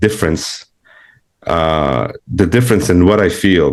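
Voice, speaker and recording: A man talks at a fairly slow pace with a non-native accent. His intonation is lively. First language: not English. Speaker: spiritual seeker, client. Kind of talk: one-on-one spiritual consultation. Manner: halting, many fillers.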